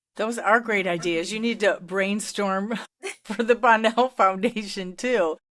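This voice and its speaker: A woman talks in an ordinary speaking voice at a medium pitch. She keeps a fairly slow pace and fairly even intonation. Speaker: podcast host. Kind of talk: interview.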